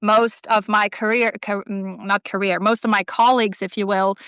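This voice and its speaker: With a Swedish accent, a woman at a fairly high pitch speaks in a bright, sharp tone at a moderate pace, the sound dry and close with no echo in a very clean recording with a silent background. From Sweden. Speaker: artist and writer. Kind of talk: casual interview chat. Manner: halting, many fillers and restarts.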